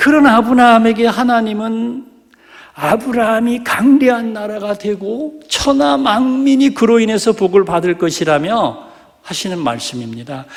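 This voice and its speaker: Over noticeable background noise, a man talks at a high pitch. His pace is fairly slow and his intonation lively. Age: 60s. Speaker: pastor. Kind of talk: sermon. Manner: animated.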